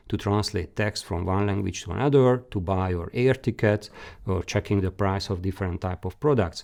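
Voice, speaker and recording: With a Hungarian accent, a man speaks in a dark, mellow tone at fairly low pitch with ordinary pitch variation. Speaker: career guidance expert presenter. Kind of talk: webinar presentation. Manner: halting.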